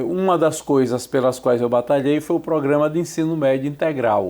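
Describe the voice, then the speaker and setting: A man speaks with a Sergipe accent. His pace is moderate and his pitch variation ordinary. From Brazil, Sergipe (Aracaju). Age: 60s. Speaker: journalist and professor. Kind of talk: interview.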